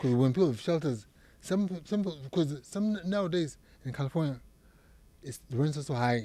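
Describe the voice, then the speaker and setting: In a strong Zimbabwean accent, a man speaks at a moderate pace with long, frequent pauses. His fairly high pitch has a dark, mellow tone and lively intonation. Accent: thick Zimbabwean. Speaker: psychiatric nurse practitioner. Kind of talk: interview. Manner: halting, repeats words.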